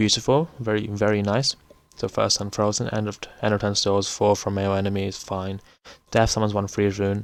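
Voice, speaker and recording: Monotone, flat intonation at a fairly quick pace. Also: man, fairly low pitch for a man. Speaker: gaming YouTuber. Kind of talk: tier list commentary. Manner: fast; casual, halting with fillers.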